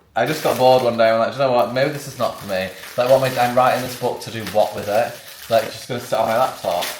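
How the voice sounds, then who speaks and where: A very fast man at medium pitch, with big swings in loudness, audible room echo and noticeable background noise. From northern England, Sheffield. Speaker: vlogger. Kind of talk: casual vlog chat. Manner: animated.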